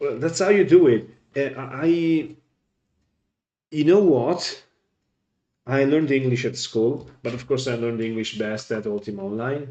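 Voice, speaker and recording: Using lively intonation in a dark, mellow tone, a man with an Italian accent talks at medium pitch and a fairly slow pace, with long, frequent pauses. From Italy. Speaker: gaming streamer. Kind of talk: casual chat.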